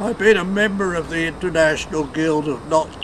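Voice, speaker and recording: A man's high voice, fairly even in intonation, with noticeable background noise. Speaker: knot tyer, first president of knot tyers' guild. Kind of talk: interview answer.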